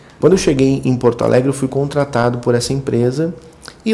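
A man at medium pitch and a fairly quick pace, with fairly even intonation and noticeable background noise. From rural Rio Grande do Sul, Brazil (German colony area). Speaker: sales manager at recycling software company. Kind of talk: casual interview. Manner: halting, repeats words.

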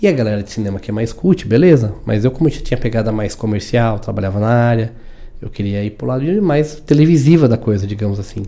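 Dark, mellow male speech with ordinary pitch variation. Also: medium pitch for a man, fairly quick pace. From São Paulo, Brazil. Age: 30s. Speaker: audiovisual producer. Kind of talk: casual chat.

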